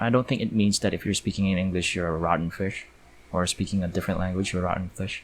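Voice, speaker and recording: A man speaks very fast with a slight Filipino accent. His pitch is very deep and low, and his intonation is fairly even. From Philippines. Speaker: 3D artist and YouTuber. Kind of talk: live commentary while working. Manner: casual, hesitant with fillers.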